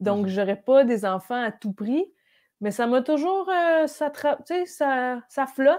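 A woman speaks at a very slow pace with a high pitch and very wide pitch swings. The background is quiet. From Quebec (Brossard and Outaouais); Quebec. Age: 30s. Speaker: comedian. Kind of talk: casual chat. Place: home room. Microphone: earbuds.

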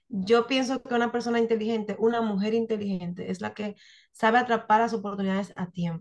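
In a Dominican accent, a woman speaks at a moderate pace with fairly even intonation. The background is quiet. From Dominican Republic, Santiago; Dominican Republic. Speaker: photographer and writer; interview guest. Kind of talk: interview. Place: home room. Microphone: webcam.

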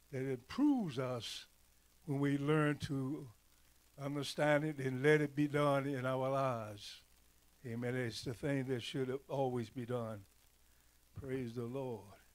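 A man with an American accent at a fairly slow pace, his intonation fairly even and his pauses long and frequent. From rural North Carolina. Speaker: church elder, preacher; preacher. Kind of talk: sermon. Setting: church. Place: church. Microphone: handheld.

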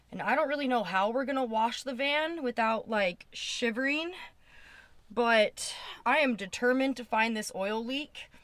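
Her voice is high for a woman, with ordinary pitch variation. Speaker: vanlife vlogger. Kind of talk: casual vlog talk to camera. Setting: outdoors in cold wind.

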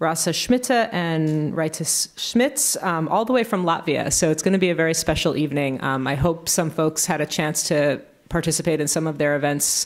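A woman speaks in an unremarkable speaking voice with a fairly low pitch and ordinary pitch variation. Her loudness stays very even over a quiet background. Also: moderate pace. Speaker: host introducing speakers, instructor. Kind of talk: event introduction and class announcements. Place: hall. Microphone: podium.

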